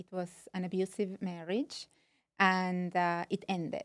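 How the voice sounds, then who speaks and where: In a non-native accent, a woman speaks at a very slow pace and medium pitch with fairly even intonation, in a dry, close sound with no echo. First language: not English. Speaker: dating and relationship coach. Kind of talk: interview. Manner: halting.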